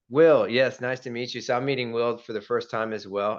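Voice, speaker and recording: Against a quiet background, a man with an ordinary speaking voice talks at a medium pitch with fairly even intonation. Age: 40s. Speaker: podcast host and real estate agent. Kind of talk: casual interview chat.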